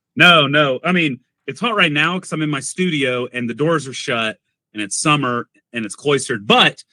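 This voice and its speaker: A man talks at a moderate pace with a fairly high pitch and lively intonation. He has a plain, everyday voice. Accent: American. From US South (Arkansas). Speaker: coffee content creator. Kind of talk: casual chat. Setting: home studio.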